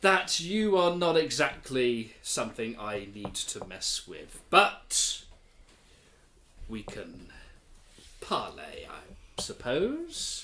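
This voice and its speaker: A man's put-on character voice, high in pitch, at a very slow pace with long, frequent pauses. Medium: actual play. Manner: weary, mildly sardonic, polite.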